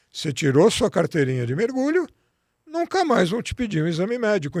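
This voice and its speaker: The speaker is a man. The recording is very clean with a silent background. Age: 60s. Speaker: physician and diving instructor. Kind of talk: interview.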